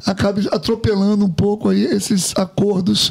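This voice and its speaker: A man speaks at a high pitch with fairly even intonation. Noticeable background noise sits behind him. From Rio de Janeiro, Brazil. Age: 60s. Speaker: retired military officer and politician. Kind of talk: interview.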